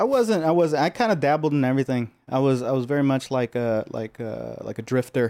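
Speaking with an American accent and hardly any pauses, a man has a dark, mellow tone and ordinary pitch variation, recorded very cleanly against a silent background with dry, close sound and no echo. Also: medium pitch for a man. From Los Angeles, US. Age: 30s. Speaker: painter and sculptor. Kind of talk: casual interview chat.

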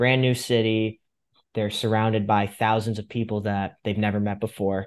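The speaker talks in an American accent with monotone, flat intonation. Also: man. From Fairfield County, Connecticut. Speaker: podcast host. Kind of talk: interview.

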